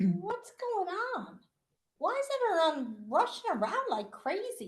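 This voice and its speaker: A woman does a put-on character voice at an extremely high pitch, with very wide pitch swings. She talks at a fairly slow pace. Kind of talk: radio drama performance.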